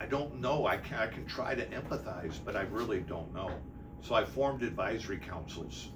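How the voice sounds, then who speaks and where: A man with an American accent at a moderate pace, with noticeable background noise and audible room echo. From Detroit, Michigan. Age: 60s. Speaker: city mayor. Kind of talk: interview.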